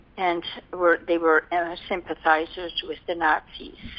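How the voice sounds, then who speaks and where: A woman talks in a medium pitch with a Dutch accent. Her pace is fairly slow. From Netherlands. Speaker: war survivor. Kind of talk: oral history interview answer.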